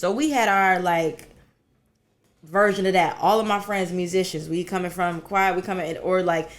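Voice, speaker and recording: A woman talks with an American accent at a moderate pace. She has a normal speaking voice. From US South. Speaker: singer and performer. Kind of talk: interview. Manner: casual, conversational.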